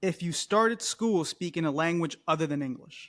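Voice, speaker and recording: In a very clean recording with a silent background, a man speaks at a high pitch with lively intonation. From Colombia, raised in US from age three. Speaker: podcast co-host. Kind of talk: casual chat.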